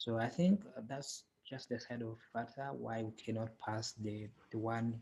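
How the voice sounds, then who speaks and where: A man speaks at a fairly slow pace and medium pitch. His voice is somewhat breathy, with fairly even intonation. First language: not English. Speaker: software developer and tutorial creator. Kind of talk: tutorial. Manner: halting, many fillers.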